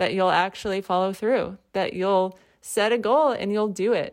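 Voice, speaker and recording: Very clean and with a silent background, the recording has a woman speaking at a medium pitch with an American accent. Her pitch variation is ordinary. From Connecticut. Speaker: podcast host, artist and creative coach. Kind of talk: personal storytelling monologue.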